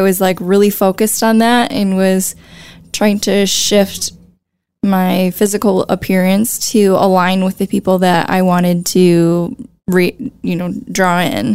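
With an American accent, the speaker talks at a very slow pace with fairly even intonation. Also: woman. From US Midwest, La Crosse, Wisconsin. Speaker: visual artist and graphic designer. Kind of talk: interview conversation.

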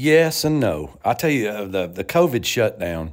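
A man with an Appalachian accent and very wide pitch swings. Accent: Southern US (Appalachian). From US South, western North Carolina. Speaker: bluegrass musician and radio host. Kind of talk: interview.

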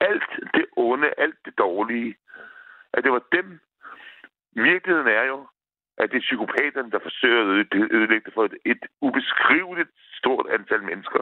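Long, frequent pauses mark a man's speech at a moderate pace. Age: 50s. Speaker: caller. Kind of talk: phone-in call.

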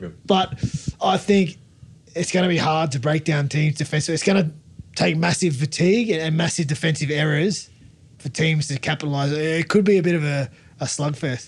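With an Australian accent, a man talks at a moderate pace in a fairly high pitch with ordinary pitch variation. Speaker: rugby league pundit, former player. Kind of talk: casual chat.

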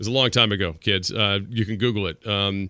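In a very clean recording with a silent background, a man speaks with a fairly low pitch. His tone is bright and sharp. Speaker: sports radio host. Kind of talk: sports talk radio. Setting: radio studio. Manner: animated.

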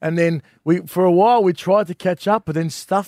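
This voice has an Australian accent and fairly even intonation. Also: man, dry, close sound with no echo. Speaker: comedian. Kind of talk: casual banter.

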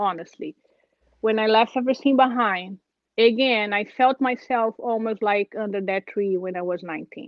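A woman with a Brazilian accent speaks at a moderate pace, her pitch fairly high with ordinary variation. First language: Portuguese. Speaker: churchgoer sharing faith story. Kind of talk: testimony. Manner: halting.

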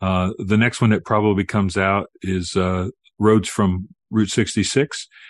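A man with an ordinary speaking voice talks fairly slowly at a fairly low pitch, his loudness very even. The sound is dry and close with no echo, and the background is quiet. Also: fairly even intonation. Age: 60s. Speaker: author and minister. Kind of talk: interview about his book.

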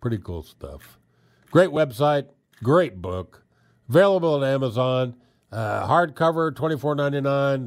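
With lively intonation and big swings in loudness, a man with a fairly high pitch speaks with long, frequent pauses on a very clean recording with a silent background. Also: moderate pace. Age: 60s. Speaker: radio show host. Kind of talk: casual book review monologue. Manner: halting, many filler words.

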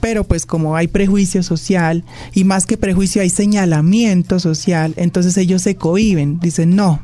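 There is noticeable background noise behind a woman's voice. She speaks at a fairly low pitch with ordinary pitch variation. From Colombia, Pasto (Nariño). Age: 20s. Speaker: podcast guest, engineer and model. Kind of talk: casual interview.

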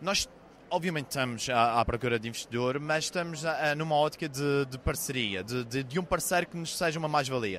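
A man with a Madeiran accent speaks fairly quickly at a fairly high pitch. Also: ordinary pitch variation. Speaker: startup founder. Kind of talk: pitch interview.

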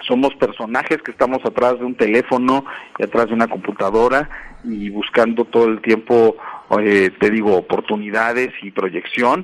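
The speaker is a man with a normal speaking voice and medium pitch. He goes at a moderate pace with fairly even intonation. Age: 40s. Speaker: music artist manager. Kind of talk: interview.

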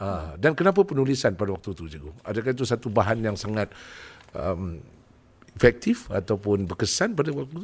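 Speaking at a fairly quick pace, a man with a fairly low, somewhat breathy voice makes very wide pitch swings and big swings in loudness. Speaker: podcast host. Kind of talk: casual interview chat, joking. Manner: animated, joking.

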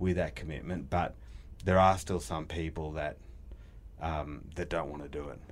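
A man talks at a moderate pace in a very deep, low pitch with vocal fry. His pitch varies in an ordinary way. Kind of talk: casual business chat, interview.

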